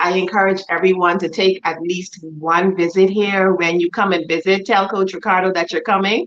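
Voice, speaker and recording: A woman speaks with a Bahamian accent at a medium pitch. Noticeable background noise can be heard. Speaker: club president and guest. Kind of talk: casual chat.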